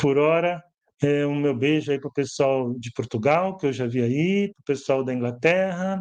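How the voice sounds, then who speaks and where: Over a quiet background, a man talks at a moderate pace in a fairly high pitch. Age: 60s. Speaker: educator and author. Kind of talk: live stream book launch presentation. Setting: live stream from home. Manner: conversational, hesitant.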